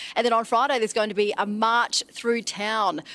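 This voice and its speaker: A woman talks at a fairly quick pace in a dry recording with no echo. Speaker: TV reporter on location. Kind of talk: live news cross answer. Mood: warm, moved. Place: open country. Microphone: handheld.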